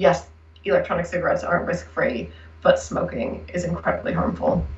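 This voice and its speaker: In an American accent, a woman talks very fast with big swings in loudness, and audible room echo surrounds her voice. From United States. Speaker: researcher. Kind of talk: interview.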